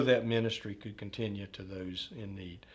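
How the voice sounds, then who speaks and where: A man with a Southern US accent. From US South, north Florida. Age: 50s. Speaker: retirement community executive. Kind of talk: oral history interview. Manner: halting, many fillers.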